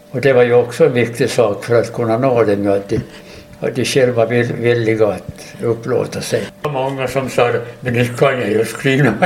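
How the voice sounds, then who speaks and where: A man at a medium pitch and moderate pace, fairly even in intonation, over noticeable background noise. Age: 80s+. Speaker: war veteran and retired teacher. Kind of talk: casual interview. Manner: halting.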